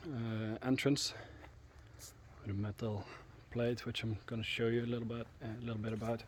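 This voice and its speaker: A somewhat breathy man talks at a moderate pace in a monotone, flat way, with long, frequent pauses. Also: medium pitch for a man. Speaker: history tour guide. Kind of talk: casual talk to camera. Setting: outdoors. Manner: soft-spoken, quiet; hesitant, many filler sounds.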